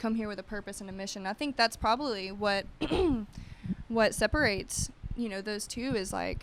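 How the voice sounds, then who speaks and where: Speaking at a very fast pace, a woman uses a medium-pitched voice. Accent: American. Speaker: yoga entrepreneur. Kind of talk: podcast interview. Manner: animated.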